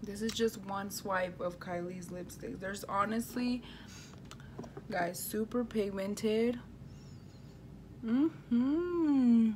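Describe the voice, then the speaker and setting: A woman's fairly high, lively voice at a very slow pace with long, frequent pauses, over noticeable background noise. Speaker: beauty vlogger. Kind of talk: makeup tutorial. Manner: animated.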